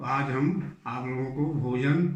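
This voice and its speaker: With audible room echo, a man's fairly high, somewhat breathy voice carries fairly even intonation. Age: 70s. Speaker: doctor giving health advice. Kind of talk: health talk to camera.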